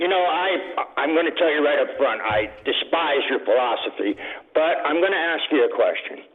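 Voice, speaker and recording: Music plays in the background. The speaking goes at a moderate pace. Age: 70s. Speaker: radio caller, retiree. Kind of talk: call-in complaint. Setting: phone call.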